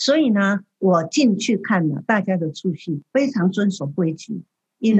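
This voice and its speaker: Fairly slow, somewhat breathy speech from a woman. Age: 70s. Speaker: museum board chair. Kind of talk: radio interview.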